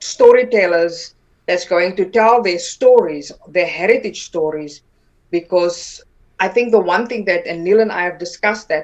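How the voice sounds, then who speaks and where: A woman speaks with a South African accent. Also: quiet background. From South Africa, Northern Cape. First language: Afrikaans. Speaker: political party vice president and actress. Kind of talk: interview. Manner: halting, many repeated words.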